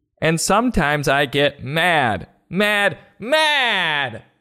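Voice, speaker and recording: A man does a put-on character voice at a fairly high pitch. He talks at a very slow pace, recorded very cleanly against a silent background. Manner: angry outburst.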